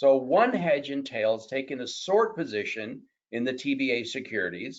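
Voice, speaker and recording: This man has a normal speaking voice at medium pitch. He talks at a moderate pace with lively intonation. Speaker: mortgage market expert. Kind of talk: webinar presentation. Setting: webinar.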